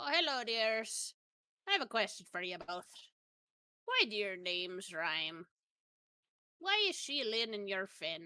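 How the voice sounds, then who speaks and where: Using a put-on character voice, a female-sounding speaker at medium pitch moves at a fairly slow pace with long, frequent pauses. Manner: sweet, curious.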